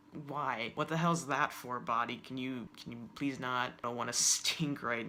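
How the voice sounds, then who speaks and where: A man speaks at a moderate pace with a medium pitch and fairly even intonation, and background noise is noticeable. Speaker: vlogger. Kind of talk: casual vlog. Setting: home, window lighting.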